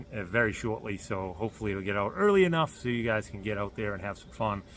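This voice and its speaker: With a Boston accent, a man talks at a very fast pace with hardly any pauses, his fairly low pitch showing ordinary variation. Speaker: car builder vlogger. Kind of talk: casual vlog announcement. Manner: halting with many fillers.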